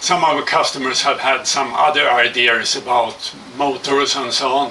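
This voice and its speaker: The speaker has a Swedish accent and talks at a moderate pace. Pitch varies in an ordinary way, with noticeable background noise. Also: man. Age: 60s. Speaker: hang glider kit builder. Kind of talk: product presentation. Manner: halting.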